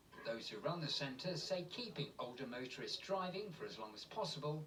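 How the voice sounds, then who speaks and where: At a moderate pace, a man with a fairly high pitch talks in an unremarkable speaking voice, his intonation lively. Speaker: TV news reporter. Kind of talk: TV news report.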